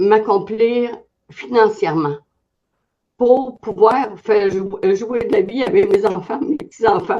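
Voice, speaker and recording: With long, frequent pauses, a woman speaks very slowly in a fairly high pitch, her tone dark and mellow and her intonation lively. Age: 70s. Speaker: testimonial giver, network marketer. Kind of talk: testimony.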